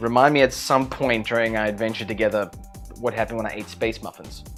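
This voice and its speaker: A man with a South African accent speaks over music in the background. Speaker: YouTuber. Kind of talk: casual talk to camera.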